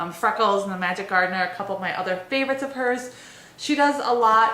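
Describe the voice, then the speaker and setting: Noticeable background noise surrounds a woman talking very fast. Her pitch varies in an ordinary way. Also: fairly high pitch for a woman. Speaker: book blogger. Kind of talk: casual talk to camera. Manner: fast, wordy.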